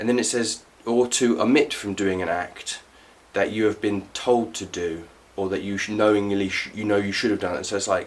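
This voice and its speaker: Fairly even intonation from a man with a fairly low pitch, delivered at a moderate pace. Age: 30s. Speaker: political commentator. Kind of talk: casual talk to camera.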